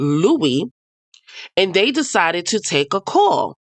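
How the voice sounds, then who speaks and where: Using an American accent, a woman speaks at medium pitch and a very slow pace. Her pitch swings very wide. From New York. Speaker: reality TV commentator. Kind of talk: casual commentary. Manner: animated.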